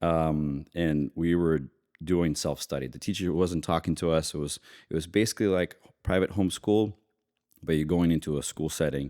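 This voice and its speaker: With a slight Russian accent, a man speaks at a fairly quick pace in a very deep, low pitch and a dark, mellow tone, his intonation fairly even, the sound dry and close with no echo on a very clean recording with a silent background. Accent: slight Russian-tinged. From US (immigrant from Ukraine at age three). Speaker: investment banker. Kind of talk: casual interview.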